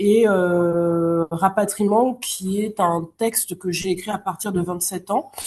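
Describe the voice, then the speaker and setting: At a very slow pace, a woman speaks in a somewhat breathy, medium-pitched voice with ordinary pitch variation. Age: 30s. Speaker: novelist and literature teacher. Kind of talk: interview. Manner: hesitant, many fillers.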